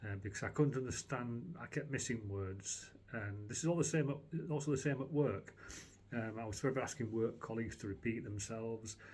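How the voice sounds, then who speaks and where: A man with a medium pitch talks at a fairly quick pace, somewhat breathy. His pitch varies in an ordinary way. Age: 60s. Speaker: customer giving a product review. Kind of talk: testimonial. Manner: halting, many fillers and restarts.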